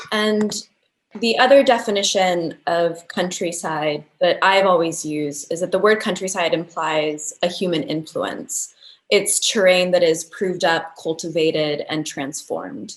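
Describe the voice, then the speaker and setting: A woman's plain, everyday voice with an American accent, fairly low in pitch, with ordinary pitch variation and a fairly slow pace. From United States. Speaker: architecture researcher. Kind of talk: lecture.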